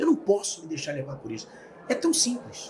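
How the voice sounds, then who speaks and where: A man is speaking here. His pace is moderate. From Rio de Janeiro, Brazil. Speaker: speaker and author. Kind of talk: interview. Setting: studio.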